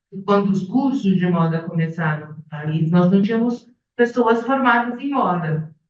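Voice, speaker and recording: Speaking at a fairly slow pace, a woman with an ordinary speaking voice keeps to medium pitch with ordinary pitch variation. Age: 60s. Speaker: retired fashion professor. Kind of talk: academic panel talk.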